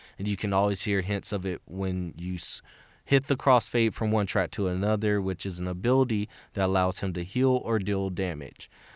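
This man has a normal speaking voice, pitched fairly low. He talks at a moderate pace with ordinary pitch variation. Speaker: podcast host, college student. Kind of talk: solo podcast monologue. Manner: casual, with frequent filler words.

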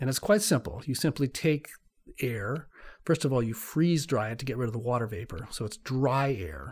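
Somewhat breathy and medium in pitch, a man with an American accent talks at a moderate pace with lively intonation on a very clean recording with a silent background. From US West Coast (California). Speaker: climate scientist, professor. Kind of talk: interview, explanatory.

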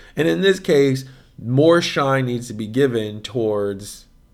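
A man's animated tone at a moderate pace. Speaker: podcast host. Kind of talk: casual banter, podcast chat. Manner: animated, joking.

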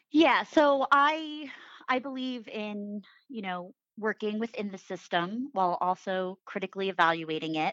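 A woman with a plain, everyday voice talks at a moderate pace and medium pitch, her intonation lively and her loudness swinging widely, in a dry, close sound with no echo and a quiet background. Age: 30s. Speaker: civic fellow. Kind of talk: casual chat.

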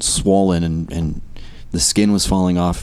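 In a Californian accent, a man talks with a very deep, low pitch and fairly even intonation. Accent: American (Californian). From US West Coast (California, earlier Maryland). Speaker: worship leader. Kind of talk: casual chat.

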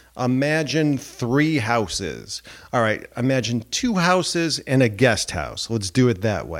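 Over a very clean recording with a silent background, a man uses a plain, everyday voice at a fairly slow pace with lively intonation. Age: 40s. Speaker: podcast host and relationship coach. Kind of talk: solo monologue podcast. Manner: casual, with frequent fillers.

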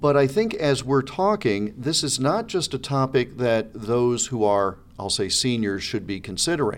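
A man speaks at a fairly slow pace with lively intonation. He has an ordinary speaking voice. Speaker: radio host. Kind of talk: interview.

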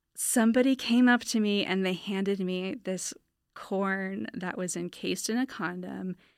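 An ordinary speaking voice from a woman with an American accent and ordinary pitch variation, on a very clean recording with a silent background. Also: medium pitch for a woman, moderate pace. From Northern California. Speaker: artist and art graduate student. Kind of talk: interview.

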